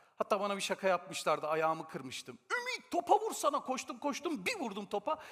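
Pitch swinging very widely, a high-voiced man speaks at a fairly quick pace in an animated tone. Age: 40s. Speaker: sales trainer and author. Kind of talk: conference talk. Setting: stage with audience.

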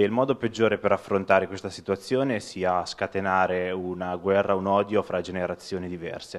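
Over a quiet background, a man with a very deep, low pitch talks at a fairly quick pace with fairly even intonation and hardly any pauses. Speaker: audience member asking a question; audience member. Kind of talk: audience question. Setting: lecture hall with audience. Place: hall. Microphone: handheld.

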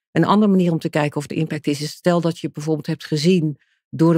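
A woman with a very deep, low pitch speaks in a dark, mellow tone with fairly even intonation. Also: dry, close sound with no echo. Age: 50s. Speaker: charity foundation director. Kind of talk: podcast interview.

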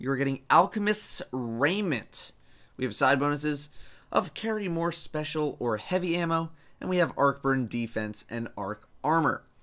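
Bright and sharp in tone, a man's fairly high voice moves at a moderate pace with lively intonation. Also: very clean recording, silent background. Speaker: gaming YouTuber. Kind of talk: game news and item review to camera.

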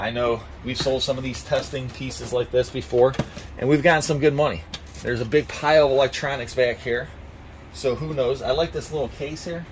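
Fairly quick speech from a man with ordinary pitch variation over light background noise. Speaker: auctioneer, reseller. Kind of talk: casual vlog chat. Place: street.

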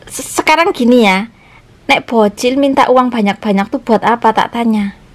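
At a moderate pace, a woman speaks in a fairly high pitch with ordinary pitch variation.

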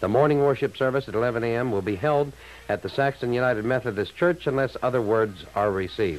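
A man speaks at a very fast pace. His loudness stays very even. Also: ordinary pitch variation. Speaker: local radio announcer. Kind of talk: emergency radio broadcast, reading closings and cancellations. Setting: AM radio broadcast. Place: studio. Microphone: old recording.

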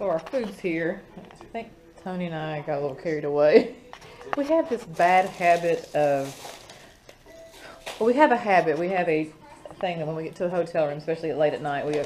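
A woman's fairly low voice at a fairly quick pace, with ordinary pitch variation and music in the background. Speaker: travel vlogger. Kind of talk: casual vlog chat. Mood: mildly disappointed, wry. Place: home room. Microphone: phone near.

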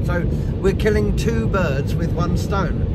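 A man at a moderate pace, dry sound with no echo, and loud background noise. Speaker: vlogger. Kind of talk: casual vlog chat. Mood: cheerful, joking. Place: car. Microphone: phone near.

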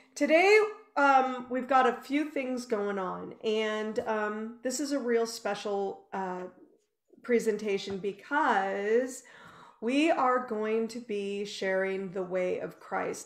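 Over a quiet background with audible room echo, a woman speaks at a very slow pace with ordinary pitch variation. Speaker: ministry host. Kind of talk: devotional talk show hosting. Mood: warm, excited. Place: home room.

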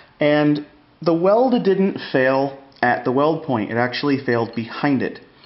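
A man speaks at a fairly slow pace with a fairly high pitch. The room echo is audible. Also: ordinary pitch variation.

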